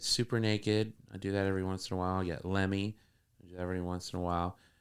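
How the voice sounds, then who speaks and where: A very deep, low-pitched man at a very fast pace, monotone and flat in intonation, on a very clean recording with a silent background. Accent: American. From northern Florida. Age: 40s. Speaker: comedian and musician. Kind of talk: casual interview chat. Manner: halting, many repeated words.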